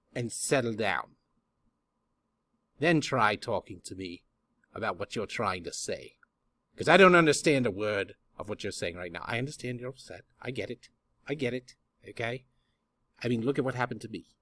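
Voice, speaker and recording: A put-on character voice with a theatrical tone moves at a moderate pace, full of lively intonation, big swings in loudness and long, frequent pauses, on a very clean recording with a silent background. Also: man, medium pitch for a man. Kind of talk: comic overacting. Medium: solo performance. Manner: theatrical, rambling.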